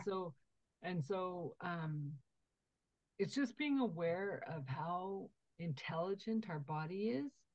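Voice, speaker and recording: A woman's somewhat breathy, fairly low voice with lively intonation, a very slow pace and long, frequent pauses. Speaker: podcast host. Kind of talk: podcast interview.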